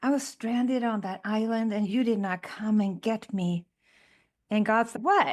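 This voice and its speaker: In a very clean recording with a silent background, a woman speaks with a Swedish accent. Her pitch is fairly high with ordinary variation, and her pace is fairly slow. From Sweden. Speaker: podcast co-host. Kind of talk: casual chat.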